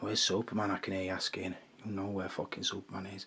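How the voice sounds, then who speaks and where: Quiet and fairly low-pitched, a man talks at a fairly quick pace in a flat monotone with a bright, sharp tone. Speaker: action figure collector, video creator. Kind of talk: casual hobby vlog, hands-on commentary. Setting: at home, bedroom at night. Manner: talking quietly.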